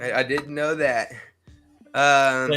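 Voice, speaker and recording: The voice moves at a fairly slow pace with music playing in the background. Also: man. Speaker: streamer guessing sports players with chat.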